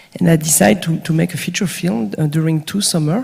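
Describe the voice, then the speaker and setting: A woman speaks in a very deep, low voice with ordinary pitch variation over noticeable background noise. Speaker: film director. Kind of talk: panel discussion. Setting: stage with audience. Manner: halting, repeats words.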